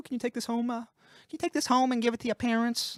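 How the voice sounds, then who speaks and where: In a put-on character voice with a fairly high pitch, the speaker rattles along at a very fast pace. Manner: cheerful.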